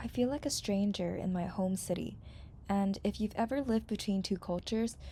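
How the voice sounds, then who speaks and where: Somewhat breathy and dark, mellow in tone, a woman talks at a fairly quick pace and medium pitch with ordinary pitch variation and very even loudness. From Hong Kong. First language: Cantonese. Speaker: content creator. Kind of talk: personal reflection narration.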